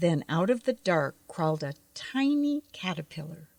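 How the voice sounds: Simply a natural reading voice.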